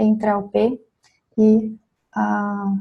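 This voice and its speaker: Speaking in a monotone with flat intonation, a woman has a fairly high pitch, a dark, mellow tone and a somewhat breathy quality. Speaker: psychologist and business mentor. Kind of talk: mentoring feedback session.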